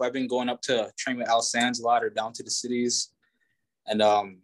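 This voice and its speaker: A man speaks at a moderate pace with lively intonation, in a plain, everyday voice. The sound is dry and close, with no echo. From Minnesota, Hinckley area. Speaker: professional heavyweight boxer. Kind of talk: interview. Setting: video call.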